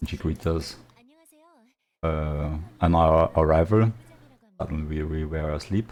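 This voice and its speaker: This speaker talks with a non-native accent and fairly even intonation. Long pauses come often. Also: man, very deep, low pitch for a man. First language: not English. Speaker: gaming YouTuber. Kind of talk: unscripted game story narration. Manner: halting, many fillers; casual, improvised.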